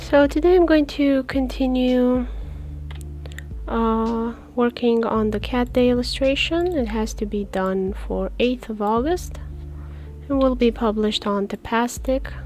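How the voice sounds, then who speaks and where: Soft-spoken woman with a non-native accent at a fairly slow pace, over noticeable background noise. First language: not English. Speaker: comic artist streamer. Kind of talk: live stream commentary while drawing. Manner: low energy.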